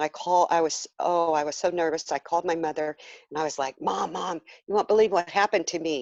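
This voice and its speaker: A woman with a normal speaking voice talks at a fairly quick pace against a quiet background. Her pitch is fairly low and her intonation fairly even. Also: dry, close sound with no echo. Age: 60s. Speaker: near-death experience survivor. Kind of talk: interview testimony.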